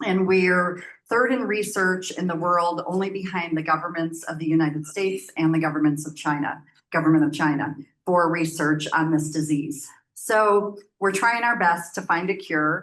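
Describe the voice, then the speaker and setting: With an American accent, a woman speaks at a moderate pace in a fairly low pitch. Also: ordinary pitch variation. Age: 60s. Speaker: nonprofit program manager. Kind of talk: presentation. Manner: loud.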